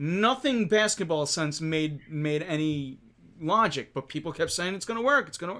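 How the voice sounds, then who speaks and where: A man with a Philadelphia accent, high-pitched, bright and sharp in tone, lively intonation at a moderate pace, loudness swinging widely, a very clean recording over a silent background. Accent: Philly. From Philadelphia, US. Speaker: sports podcast host. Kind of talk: casual sports talk livestream. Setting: live stream with chat.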